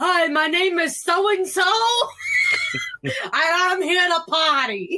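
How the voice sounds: In a put-on character voice with a Brooklyn accent, someone shouts at an extremely high, nasal pitch at a fairly slow pace, with long, frequent pauses.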